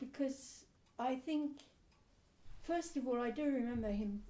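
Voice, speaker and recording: A woman's somewhat breathy voice with a dark, mellow tone, a fairly slow pace and ordinary pitch variation. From England, Suffolk. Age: 80s+. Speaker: oral history interviewee. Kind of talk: oral history interview. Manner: halting.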